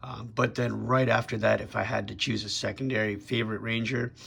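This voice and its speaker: A man speaks at a moderate pace in a fairly low voice with ordinary pitch variation. Noticeable background noise runs beneath him. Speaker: toy collector YouTuber. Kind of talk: product review. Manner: casual with many fillers.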